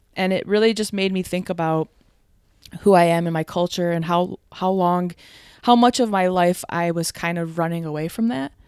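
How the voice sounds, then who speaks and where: With an American accent, a woman speaks in an ordinary speaking voice at a fairly low pitch, moderate pace and fairly even intonation on a very clean recording with a silent background. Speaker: podcast guest. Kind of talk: casual chat. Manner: relaxed, chatty.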